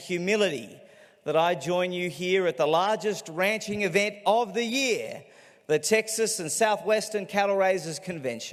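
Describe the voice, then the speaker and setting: The speech is fairly slow, its pitch varies in an ordinary way, and noticeable background noise runs underneath. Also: man. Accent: Australian. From Australia. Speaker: political commentator and author. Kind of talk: keynote speech. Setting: stage with audience.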